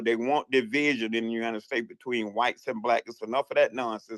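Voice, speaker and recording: Very fast and animated, a man talks in a Southern US accent. The sound is dry and close, with no echo. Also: very clean recording, silent background. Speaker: caller in a live audio chat room. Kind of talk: casual chat.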